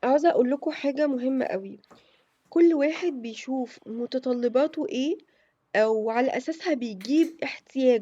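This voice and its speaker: A woman speaks at a fairly slow pace in a high pitch. Her tone is dark and mellow. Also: ordinary pitch variation. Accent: Egyptian. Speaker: homemaking vlogger. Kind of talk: casual vlog chat. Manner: hesitant, many fillers.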